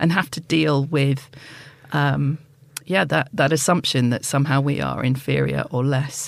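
A woman speaks with a southern English accent. Her pace is moderate. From southeast England. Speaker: polar explorer. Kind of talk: interview.

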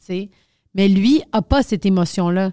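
Captured in a very clean recording with a silent background and a dry, close sound without echo, a woman speaks in an unremarkable speaking voice at medium pitch with ordinary pitch variation. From Quebec. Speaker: comedian. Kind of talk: casual chat.

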